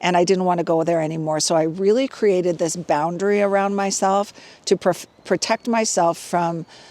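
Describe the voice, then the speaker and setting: Here is a woman with a plain, everyday voice. She keeps a moderate pace and fairly even intonation. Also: fairly low pitch for a woman. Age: 60s. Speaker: fitness and wellness vlogger. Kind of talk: casual vlog monologue. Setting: outdoors hiking. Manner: conversational with fillers.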